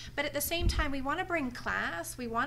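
A woman talks at a moderate pace with lively intonation. There is light background noise. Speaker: party event organizer; guest. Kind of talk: casual chat. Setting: studio. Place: studio. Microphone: studio mic.

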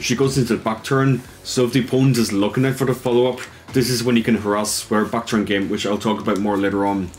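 With an Irish accent, a man talks very fast in fairly even intonation and very even loudness against noticeable background noise. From Ireland. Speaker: esports player. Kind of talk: tutorial.

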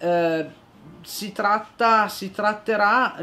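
The speaker is a woman. Her intonation rises and falls in an ordinary way. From Italy, Turin (Piedmont). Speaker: lawyer, newly appointed equality adviser. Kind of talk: interview. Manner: hesitant, many fillers. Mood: calm, earnest.

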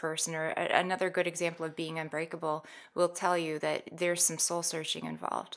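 A woman with an American accent speaks at a fairly quick pace in a fairly low, monotone, flat voice against a quiet background. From US Midwest (Minnesota, South Dakota, Wisconsin). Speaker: skydiver who lost her partner to veteran suicide; guest. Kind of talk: personal testimony in interview. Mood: somber, reflective. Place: studio. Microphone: studio mic.

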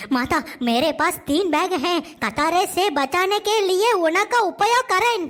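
Using a cartoonish character voice, a woman speaks at a very slow pace with an extremely high pitch and very even loudness. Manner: polite, earnest.

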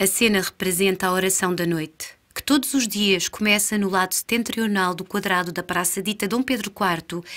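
This is an ordinary speaking voice with ordinary pitch variation, on a very clean recording against a silent background. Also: woman. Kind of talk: staged dialogue reading of surrealist verse, alternating with another voice. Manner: dreamlike, deliberate, theatrical.

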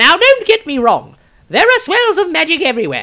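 A man performs a put-on character voice with very wide pitch swings. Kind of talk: fantasy audiobook reading. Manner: pompous, rambling, lecturing.

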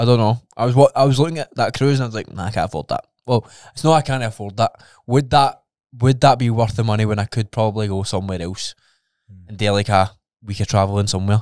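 Against a quiet background, a man with a Scottish accent and a medium pitch speaks at a very fast pace with ordinary pitch variation, the sound dry with no echo. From Scotland. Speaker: podcast co-host; podcast co-host, fitness coach. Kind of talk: casual chat. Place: studio. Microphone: studio mic.

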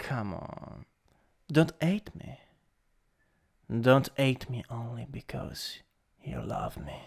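A man does a put-on character voice, raspy and very slow. Long, frequent pauses and big swings in loudness mark his delivery. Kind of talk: ASMR roleplay improvisation. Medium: role play. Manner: dominant, teasing.

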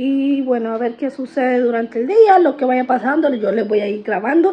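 Ordinary pitch variation at a fairly slow pace. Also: woman. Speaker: mother vlogger. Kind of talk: casual vlog chat. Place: kitchen. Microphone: phone near.

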